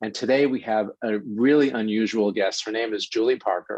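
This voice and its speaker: Someone speaks at a fairly slow pace with a New York accent. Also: man. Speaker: radio host. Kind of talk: interview.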